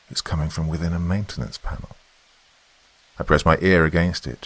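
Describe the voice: An extremely low-pitched male voice at a moderate pace, with a slightly husky edge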